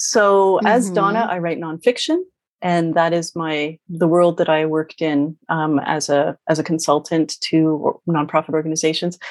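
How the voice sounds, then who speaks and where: A woman with a normal speaking voice talks at a moderate pace and a fairly low pitch with fairly even intonation, in a dry, close sound with no echo and a quiet background. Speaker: romance author and writing coach. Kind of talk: casual interview chat.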